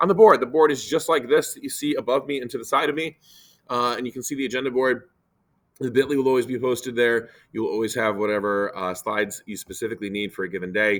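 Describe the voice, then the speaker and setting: A man races through his words very fast, holding a medium pitch that varies in an ordinary way. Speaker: teacher. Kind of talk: classroom instruction video.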